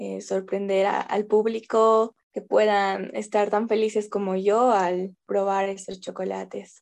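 A woman talks at a very slow pace in a medium pitch. The background is quiet. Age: 20s. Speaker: small business owner, chocolate maker. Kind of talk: radio interview. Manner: halting.

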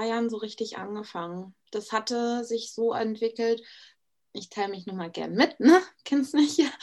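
A woman with an ordinary speaking voice and fairly high pitch talks at a moderate pace, her loudness swinging widely. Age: 20s. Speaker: Instagram influencer. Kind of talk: casual interview chat.

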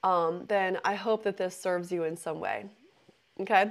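A woman talks at a moderate pace with fairly even intonation. She has an ordinary speaking voice. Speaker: intuitive business mentor and podcast host. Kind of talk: live-streamed spiritual talk with chat interaction; guided visualization meditation on the origins of the universe, eyes closed. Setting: live online session on a meditation app.

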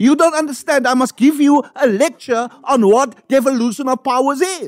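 This man's pitch is extremely high. He sounds animated. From South Africa, Cape Flats. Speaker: ACDP politician. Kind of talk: panel debate.

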